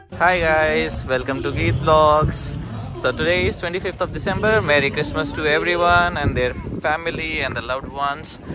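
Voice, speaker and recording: Noticeable background noise sits behind a man speaking at a moderate pace. His pitch variation is ordinary, and the sound is dry with no echo. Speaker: travel vlogger. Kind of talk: casual vlog chat. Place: street. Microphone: phone near.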